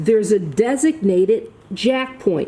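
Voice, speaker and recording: Noticeable background noise runs behind this recording. A woman with a medium-pitched voice speaks at a fairly slow pace. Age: 60s. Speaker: DIY and auto repair video host. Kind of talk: tutorial. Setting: workshop.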